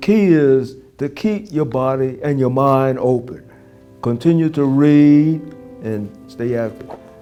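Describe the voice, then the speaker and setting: A man speaks very slowly with an American accent, at a medium pitch. His pitch varies in an ordinary way, and music plays in the background. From Brooklyn, New York. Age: 80s+. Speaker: war veteran. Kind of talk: interview answer. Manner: joking, humorous.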